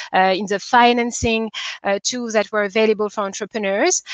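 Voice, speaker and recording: A woman's fairly high voice keeps fairly even intonation at a moderate speed. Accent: French. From DR Congo. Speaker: investor. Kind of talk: conference talk. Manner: hesitant, many fillers.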